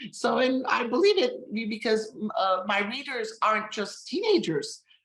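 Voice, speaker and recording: Speaking with an Armenian accent, a woman has a fairly high pitch. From Armenian heritage. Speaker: novelist. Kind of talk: interview. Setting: live stream. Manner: halting.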